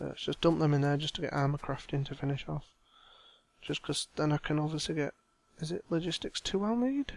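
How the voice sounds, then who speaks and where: A man with an unremarkable speaking voice, fairly high in pitch, at a fairly quick pace, with a dry, close sound and no echo. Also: ordinary pitch variation. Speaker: gaming video creator. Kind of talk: let's play commentary.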